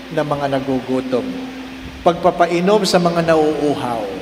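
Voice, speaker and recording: Through noticeable background noise and audible room echo, a man talks at a fairly slow pace with very wide pitch swings. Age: 60s. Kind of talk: sermon. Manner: animated.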